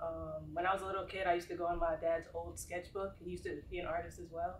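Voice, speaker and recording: With faint noise behind her, a woman talks very fast. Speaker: graphic designer. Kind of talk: panel discussion. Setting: live panel with audience in the room. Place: meeting room. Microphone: camera far.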